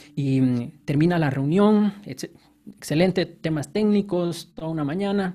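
A man talks at a very slow pace in a high pitch, with hardly any pauses. His tone is dark and mellow, with ordinary pitch variation. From Guatemala, Guatemala City. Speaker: software engineer. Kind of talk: casual interview.

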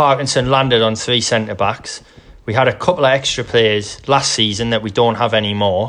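This man talks at a moderate pace with fairly even intonation and a medium pitch. He has a plain, everyday voice. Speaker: football podcast co-host. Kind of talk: casual banter chat. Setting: remote recording from separate buildings. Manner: joking, laughs often.

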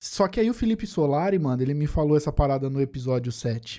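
Recorded very cleanly against a silent background, the voice has a dark, mellow tone and a moderate pace. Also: man. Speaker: podcast host. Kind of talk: casual chat.

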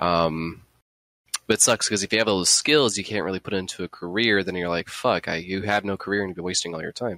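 Very deep and low in pitch, a man's voice has a bright, sharp tone, fairly even intonation and a fairly quick pace, recorded very cleanly against a silent background with a dry, close sound and no echo. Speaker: podcast co-host. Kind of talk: casual chat.

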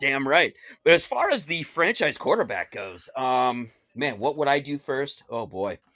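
A man speaks at a fairly slow pace in a bright, sharp tone. His delivery is animated, with lively intonation. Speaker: guest, Raiders superfan. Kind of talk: casual sports chat. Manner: excitable, animated.

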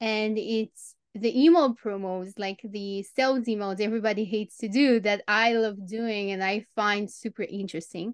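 At a moderate pace, a woman with a Romanian accent speaks in a fairly high pitch with fairly even intonation, in a dry, close sound with no echo against a quiet background. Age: 30s. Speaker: copywriter and copy coach. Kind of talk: interview.

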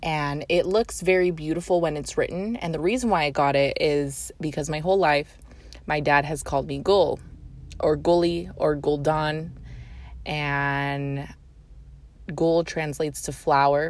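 A woman's very deep, low voice at a fairly slow pace, with ordinary pitch variation. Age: 20s. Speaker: podcast host, paralegal-type law firm worker. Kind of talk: casual solo monologue. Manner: casual, many fillers; improvised, unscripted.

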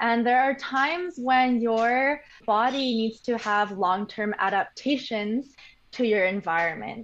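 The speaker has an unremarkable speaking voice and a fairly slow pace. Loudness stays very even, with ordinary pitch variation. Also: woman, fairly high pitch for a woman. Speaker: medical genetics graduate. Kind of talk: interview explaining science.

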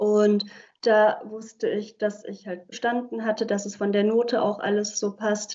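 A woman talks at a moderate pace in a fairly high pitch. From Germany, Heilbronn (Baden-Württemberg). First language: Hungarian (speaking German). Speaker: legal scholar and civil servant. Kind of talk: interview. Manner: hesitant, many filler words.

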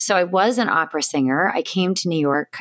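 A woman with an ordinary speaking voice, fairly low pitch and ordinary pitch variation at a moderate pace, in a dry, close sound with no echo and a very clean recording over a silent background. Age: 40s. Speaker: diversity and inclusion consultant. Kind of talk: interview.

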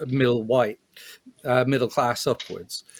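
A man with a plain, everyday voice and a fairly high pitch talks at a moderate pace. The sound is dry and close, with no echo. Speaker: podcast co-host. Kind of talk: casual chat.

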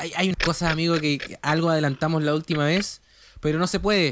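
A man speaks with a Chilean accent in a high-pitched voice. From Chile, Valdivia. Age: 30s. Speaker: podcast co-host, psychologist. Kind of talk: casual chat.

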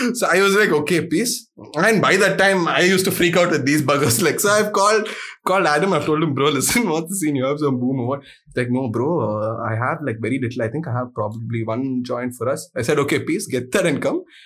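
A man with an Indian accent talks at a fairly quick pace. His pitch is fairly high and his intonation is lively. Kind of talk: casual chat. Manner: animated.

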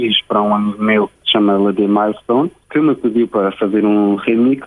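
A man with an ordinary speaking voice talks at a moderate pace with fairly even intonation, the sound dry and close with no echo. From Luxembourg, of Portuguese descent. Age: 20s. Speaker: music producer and DJ. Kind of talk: radio interview. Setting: remote link to radio studio.

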